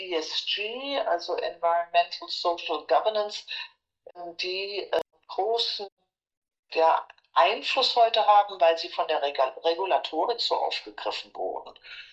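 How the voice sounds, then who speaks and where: A woman speaks at a very slow pace with long, frequent pauses. Her intonation is lively. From Germany, Frankfurt. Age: old. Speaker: supervisory board member and former lawyer. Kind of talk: interview.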